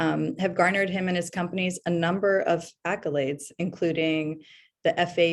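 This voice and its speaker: A woman's fairly low-pitched voice, with ordinary pitch variation and a fairly quick pace. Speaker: associate director, moderator. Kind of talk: moderated interview, webinar. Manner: fast.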